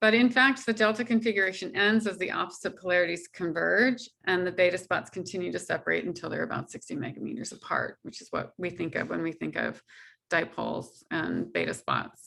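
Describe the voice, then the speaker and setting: With a bright, sharp tone and vocal fry, a woman at medium pitch uses lively intonation and hardly any pauses. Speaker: solar physics researcher. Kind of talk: scientific seminar talk.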